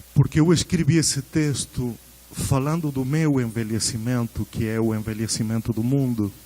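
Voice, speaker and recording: Speaking at a fairly slow pace with a Spanish accent, a man uses a medium pitch with ordinary pitch variation. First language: Spanish (speaking Portuguese). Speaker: researcher giving a conference talk. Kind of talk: lecture.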